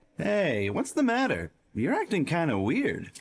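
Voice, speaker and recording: Putting on a character voice, a man talks at a moderate pace in a high pitch. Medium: fan dub. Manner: casual, breezy.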